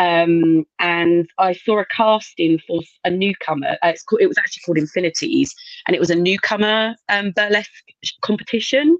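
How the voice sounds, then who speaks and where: In a plain, everyday voice, a woman speaks at a fairly quick pace and medium pitch with lively intonation, the sound dry and close with no echo. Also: very even loudness. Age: 40s. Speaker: burlesque performer. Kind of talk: casual chat.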